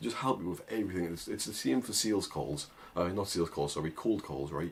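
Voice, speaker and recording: A man with a strong northern English accent, very deep and low in pitch, ordinary pitch variation, fairly quick pace. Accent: thick northern English. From northern England. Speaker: agency owner and online business coach. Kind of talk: casual tutorial to camera. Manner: informal, with many fillers and restarts.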